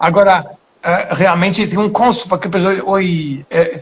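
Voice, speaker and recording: A man talks at a fairly slow pace in a high pitch, with a non-native accent. His intonation is monotone and flat. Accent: foreign accent in Portuguese. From Poland. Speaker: pastor and missionary. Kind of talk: sermon. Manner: halting.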